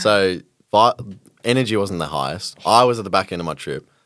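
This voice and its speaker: A man with an Australian accent speaks at a fairly quick pace with a very deep, low pitch. His intonation is lively. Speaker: podcast host. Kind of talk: casual chat.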